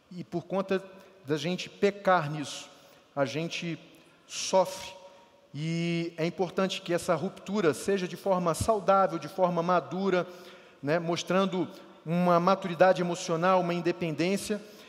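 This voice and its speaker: This man's voice is high in pitch, with fairly even intonation. He speaks at a fairly slow pace and leaves long, frequent pauses. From Rio de Janeiro state, Brazil. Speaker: pastor. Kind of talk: sermon.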